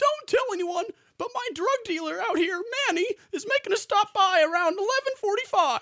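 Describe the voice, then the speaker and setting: A cartoonish character voice at an extremely high pitch and a moderate pace. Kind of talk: comic parody of a cartoon mystery sidekick. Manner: slacker drawl, filler word 'like', relaxed and goofy.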